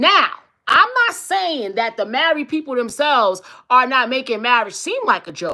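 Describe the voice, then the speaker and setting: A woman with a high, bright, sharp voice speaks at a moderate pace in an animated tone, her pitch swinging very widely. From East New York, Brooklyn. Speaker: talk show host and relationship coach. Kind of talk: casual livestream talk show monologue.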